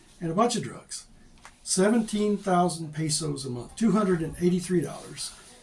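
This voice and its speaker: A man's high voice with ordinary pitch variation at a moderate pace, in audible room echo. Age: 60s. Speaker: expat vlogger. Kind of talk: casual monologue vlog. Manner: halting.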